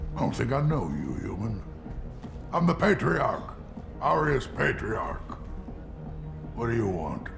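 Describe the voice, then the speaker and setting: A man speaks in a put-on character voice at a fairly slow pace. Loud music plays in the background. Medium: machinima. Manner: gruff, world-weary.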